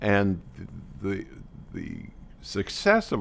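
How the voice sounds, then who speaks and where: A man talks with vocal fry. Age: 80s+. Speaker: charity board chairman. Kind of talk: interview testimony.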